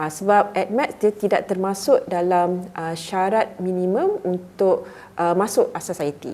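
A woman's medium-pitched voice at a fairly slow pace, with hardly any pauses, fairly even intonation, and noticeable background noise. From Malaysia, Muar, Johor. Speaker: university lecturer. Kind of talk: casual interview.

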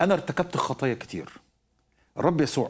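A man speaks with an Egyptian accent. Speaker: preacher and Bible teacher; preacher, Bible teacher. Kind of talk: Bible teaching. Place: studio. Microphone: lapel.

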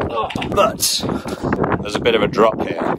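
Loud background noise surrounds a man as he speaks. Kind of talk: casual vlog chat. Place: open country. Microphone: phone near.

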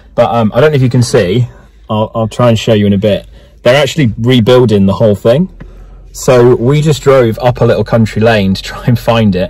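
A man at a fairly quick pace, ordinary pitch variation, dry sound with no echo. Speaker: travel vlogger. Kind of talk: casual vlog chat. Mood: cheerful, joking. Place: car. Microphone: phone near.

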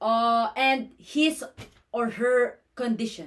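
A woman speaks at a high pitch with a Filipino accent. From Philippines. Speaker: nursing student. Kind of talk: class presentation. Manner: formal. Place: home room. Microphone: phone near.

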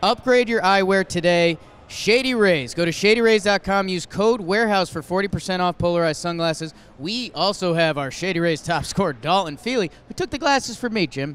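Excited in tone, a man with a high pitch speaks at a moderate pace with lively intonation. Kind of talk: sports commentary. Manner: analytical color-commentator, steady and conversational, with excited jumps.

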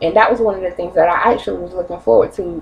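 Against light background noise, a woman rattles along at a very fast pace with lively intonation. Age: 20s. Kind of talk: casual talk to camera. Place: kitchen. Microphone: webcam.

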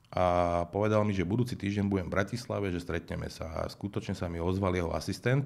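The man talks fairly quickly, his pitch sitting fairly low. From Slovakia. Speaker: music manager turned political candidate; interview guest, politician. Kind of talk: interview. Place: studio. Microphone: studio mic.

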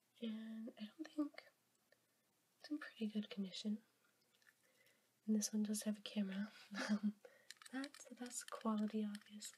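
The speaker is soft-spoken. Long pauses come often. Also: moderate pace. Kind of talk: ASMR show-and-tell video.

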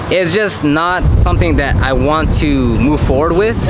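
Speech at a moderate pace over noticeable background noise. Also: man. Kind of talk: casual vlog chat. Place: street. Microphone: phone near.

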